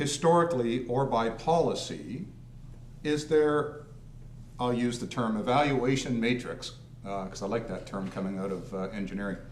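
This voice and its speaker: A man at medium pitch and moderate pace, with lively intonation, noticeable background noise and audible room echo. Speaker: deputy mayor. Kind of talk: council meeting discussion. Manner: loud.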